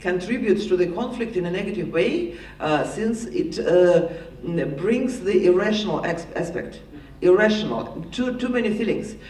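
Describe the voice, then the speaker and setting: With a Russian accent, a man talks at a moderate pace amid audible room echo and noticeable background noise. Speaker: panelist, political expert. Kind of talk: panel discussion answer. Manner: halting, many repetitions.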